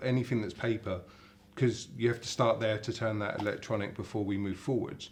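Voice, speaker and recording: This man has an English accent. His pitch varies in an ordinary way. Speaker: company CEO. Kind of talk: interview. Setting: hotel in London. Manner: halting, many repetitions.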